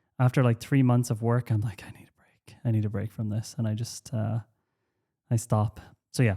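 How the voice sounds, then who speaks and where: This man's Irish-accented voice sits at a medium pitch with flat, monotone intonation and a dark, mellow tone, moving at a moderate pace through big swings in loudness, the sound dry and close with no echo. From Ireland. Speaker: podcast host and company founder. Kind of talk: casual chat. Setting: home workspace. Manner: casual, halting with many fillers.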